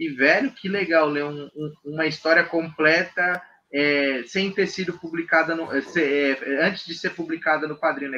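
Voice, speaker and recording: This man has an unremarkable speaking voice at a fairly high pitch with fairly even intonation. He keeps a moderate pace with hardly any pauses. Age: 20s. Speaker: podcast co-host. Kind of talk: casual chat.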